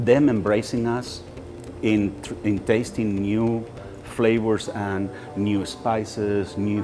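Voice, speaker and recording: A man with a fairly low voice talks over clear music in the background. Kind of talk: interview answer. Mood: enthusiastic, warm. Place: shop. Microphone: lapel.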